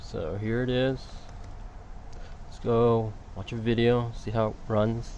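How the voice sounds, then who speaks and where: A man at medium pitch, very slow and monotone, with long, frequent pauses, big swings in loudness and audible room echo. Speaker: tech reviewer. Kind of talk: product review tutorial. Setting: outdoors then indoors. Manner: casual, hesitant.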